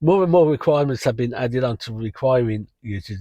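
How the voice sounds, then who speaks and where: A man's medium-pitched voice with an English accent, dark, mellow tone and moderate pace, in a dry, close sound with no echo and a quiet background. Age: 60s. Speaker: rideshare driver and channel host. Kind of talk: casual vlog talk. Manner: casual with frequent fillers.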